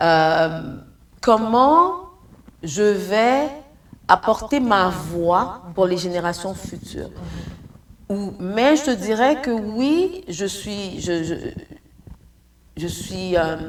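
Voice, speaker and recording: Speaking very slowly with long, frequent pauses, a woman uses lively intonation at medium pitch amid audible room echo. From Haiti and Congo. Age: 60s. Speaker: entrepreneur. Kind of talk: interview.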